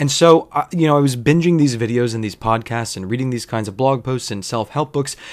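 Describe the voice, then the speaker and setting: In a normal speaking voice, a man talks at medium pitch and a fairly quick pace, with ordinary pitch variation and hardly any pauses. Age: 30s. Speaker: podcast host. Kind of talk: solo casual monologue. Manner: casual with frequent laughter.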